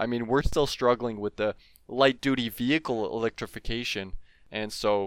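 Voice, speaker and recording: With a Canadian accent, a man uses a normal speaking voice at medium pitch and moderate pace, with fairly even intonation, in a dry, close sound with no echo on a very clean recording with a silent background. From Ontario, Canada (Franco-Ontarian). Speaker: chemistry PhD student. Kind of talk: casual interview explaining research.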